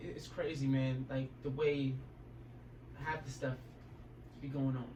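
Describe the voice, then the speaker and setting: Man at a medium pitch, monotone and flat, at a fairly slow pace, with audible room echo and noticeable background noise. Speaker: youtuber. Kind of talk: casual chat.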